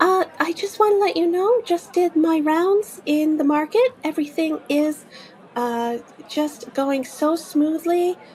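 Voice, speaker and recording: A woman puts on a squeaky, high-pitched character voice with a cheerful tone. She speaks at a fairly slow pace over clear background noise. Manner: cheerful, eager.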